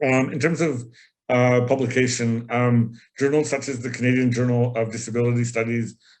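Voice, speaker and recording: Speaking fairly quickly, a man keeps to a flat, monotone delivery. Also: medium pitch for a man. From Canada. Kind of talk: lecture. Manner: halting.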